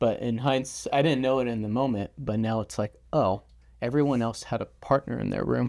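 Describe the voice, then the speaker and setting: Speaking in an American accent with an ordinary speaking voice, a man at medium pitch keeps a fairly quick pace and fairly even intonation. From California, Silicon Valley. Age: 30s. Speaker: financial adviser. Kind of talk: casual chat.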